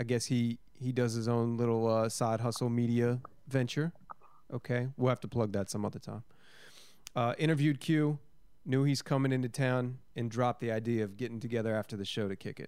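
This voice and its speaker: A man's medium-pitched, a normal speaking voice, fairly even in intonation and fairly quick in pace. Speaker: podcast co-host. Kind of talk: casual chat.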